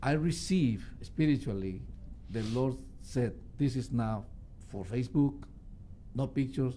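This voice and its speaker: With a Spanish accent, a man talks at a fairly slow pace in a medium pitch, with ordinary pitch variation and a dark, mellow tone. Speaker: musician. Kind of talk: radio interview. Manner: halting.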